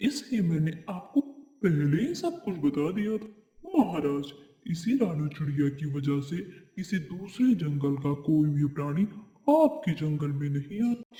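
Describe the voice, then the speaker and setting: A man performs a cartoonish character voice at a fairly high pitch and a fairly slow pace. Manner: sly, gloating.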